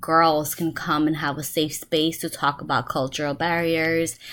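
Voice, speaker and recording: A woman speaks fairly slowly in a New York accent, her pitch very deep and low and her tone bright and sharp. The recording is very clean, with a silent background. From New York City, the Bronx. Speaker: graduate student. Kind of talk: self-introduction monologue. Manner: halting, many fillers.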